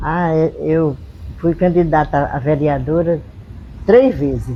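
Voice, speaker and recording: There is noticeable noise in the background. A woman does the talking. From Brazil, Rio Grande do Norte, Seridó region. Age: 80s+. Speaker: retired schoolteacher. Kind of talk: documentary interview testimony.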